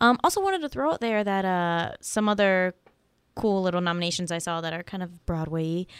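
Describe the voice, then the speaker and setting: In a very clean recording with a silent background, a woman with an ordinary speaking voice talks at a fairly quick pace, medium pitch and ordinary pitch variation. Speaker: podcast co-host, college student. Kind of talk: casual chat.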